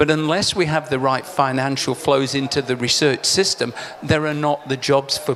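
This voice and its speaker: Over music in the background, a man with a fairly high pitch talks at a moderate pace with monotone, flat intonation. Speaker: agricultural researcher. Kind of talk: panel discussion. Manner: loud.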